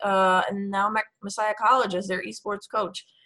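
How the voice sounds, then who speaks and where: With an American accent, a woman talks at a medium pitch and a moderate pace, with a bright, sharp tone and fairly even intonation. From New York City. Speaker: esports coach. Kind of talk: interview.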